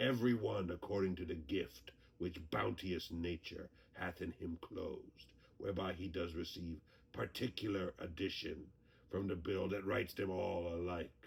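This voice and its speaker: A man puts on a character voice. It sounds very deep and low. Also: moderate pace. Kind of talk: audio drama performance.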